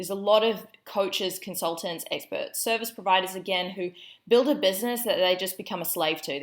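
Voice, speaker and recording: In a New Zealand accent, a woman speaks with an upbeat tone at a moderate pace, her medium pitch showing ordinary variation. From New Zealand, Auckland. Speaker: business coach. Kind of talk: online training presentation. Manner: casual, upbeat.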